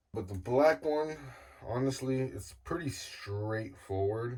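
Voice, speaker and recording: A man speaks as noticeable background noise plays behind him. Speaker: guitar builder youtuber. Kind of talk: tutorial. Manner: casual, filler-heavy.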